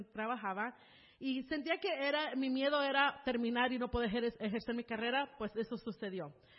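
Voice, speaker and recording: Moderate pace with ordinary pitch variation. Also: woman. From California, USA (born in Mexico City, moved at about 3). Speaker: church member sharing her life story. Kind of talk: testimony.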